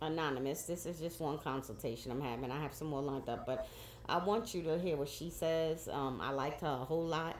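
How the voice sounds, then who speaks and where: Audible room echo surrounds a woman's very deep, low voice. She talks at a fairly quick pace. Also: ordinary pitch variation. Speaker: cancer patient vlogger. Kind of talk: casual vlog monologue.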